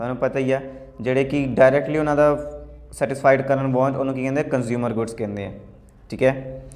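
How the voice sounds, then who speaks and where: In a room with audible echo, a man speaks at a fairly high pitch with monotone, flat intonation. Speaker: teacher. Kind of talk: tutorial. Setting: indoor room. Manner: casual, halting with self-corrections. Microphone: echoey room sound.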